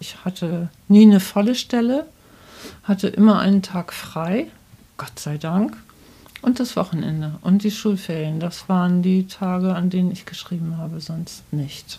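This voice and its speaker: Somewhat breathy, dark and mellow speech from a woman at medium pitch, fairly slow in pace, with ordinary pitch variation and big swings in loudness. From northern Germany, Bremen. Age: 60s. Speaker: children's book author. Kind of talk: interview. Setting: author's study at home.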